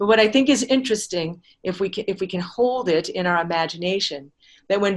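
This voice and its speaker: A woman's ordinary speaking voice, medium in pitch with ordinary pitch variation, at a fairly quick pace. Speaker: lecturer on astronomy and anthroposophy. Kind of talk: lecture.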